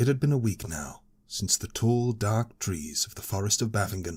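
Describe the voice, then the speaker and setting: Somewhat breathy, a man in a British accent speaks at a moderate pace with ordinary pitch variation. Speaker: audiobook narrator. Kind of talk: audiobook fantasy story reading.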